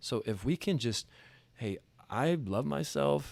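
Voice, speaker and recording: The recording is very clean, with a silent background. A man speaks at a medium pitch. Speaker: mental conditioning coach. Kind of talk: interview conversation. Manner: occasional stutter; casual.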